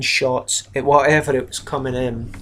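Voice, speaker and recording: A man of medium pitch speaks in a flat monotone. The recording is very clean, with a silent background. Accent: Scottish. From Scotland. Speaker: miniatures hobby YouTuber. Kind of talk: casual video review. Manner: casual, hesitant with fillers.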